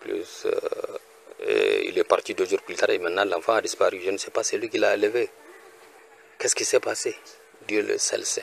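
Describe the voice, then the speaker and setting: Long, frequent pauses in a man's speech, delivered at a moderate speed. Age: 60s. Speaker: retired research technician. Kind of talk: personal appeal. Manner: halting.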